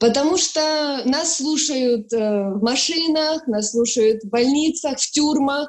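A woman's high-pitched voice, very slow, with ordinary pitch variation. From Ukraine, Sloviansk, Donetsk region. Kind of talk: personal testimony.

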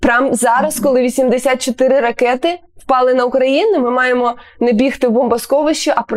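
A fairly slow pace with ordinary pitch variation. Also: woman. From Ukraine, Sloviansk. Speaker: radio host. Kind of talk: radio interview.

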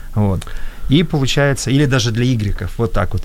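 Lively intonation marks this man's speech at a medium pitch. He talks at a very fast pace. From former Soviet Union. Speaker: entrepreneur. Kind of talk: panel discussion.

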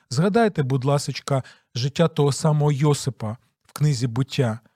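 Somewhat breathy, a man speaks at a fairly slow pace in a dry, close sound with no echo. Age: 40s. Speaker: pastor and radio host. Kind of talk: radio Bible teaching program.

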